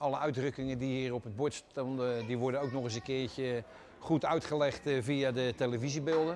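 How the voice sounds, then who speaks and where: A man speaks at a medium pitch over light background noise. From Rotterdam. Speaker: museum visitor interviewed. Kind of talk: interview answer. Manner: fast. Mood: enthusiastic, proud. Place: hall.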